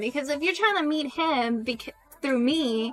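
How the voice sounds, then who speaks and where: A woman speaks in a raised, projected voice at a high pitch. There is noticeable background noise. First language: not English; English is third language. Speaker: streamer. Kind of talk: casual chat.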